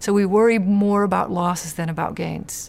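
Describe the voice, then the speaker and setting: A woman at a moderate pace. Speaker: decision researcher. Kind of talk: interview answer. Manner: halting.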